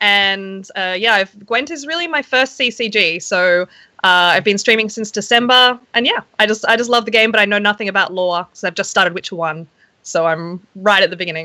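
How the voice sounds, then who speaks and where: This speaker has a bright, sharp tone and an Australian accent, talking at a fairly quick pace with ordinary pitch variation. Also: woman, medium pitch for a woman. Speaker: game streamer and opera singer. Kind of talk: casual panel chat. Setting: Skype call.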